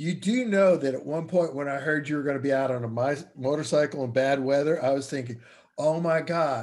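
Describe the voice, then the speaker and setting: A man speaks in a plain, everyday voice at a moderate pace, his fairly high pitch moving with ordinary variation. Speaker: podcast host. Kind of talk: casual interview chat.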